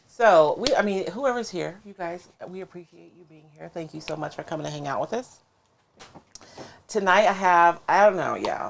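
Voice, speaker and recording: A woman speaks at a moderate pace in a medium pitch, with ordinary pitch variation and big swings in loudness. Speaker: craft livestream host. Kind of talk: casual livestream chat. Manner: mumbles, not projecting.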